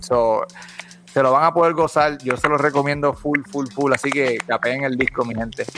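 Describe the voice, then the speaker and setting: There is noticeable background noise as a man speaks at a moderate pace with a fairly high pitch. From Puerto Rico, Bayamón. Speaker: podcast host. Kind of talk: casual chat. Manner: animated.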